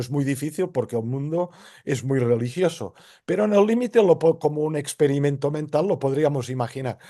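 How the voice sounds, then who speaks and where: A man's dark, mellow tone with lively intonation and a moderate pace. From Spain, central Catalonia. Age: 60s. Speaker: philosopher. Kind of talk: interview.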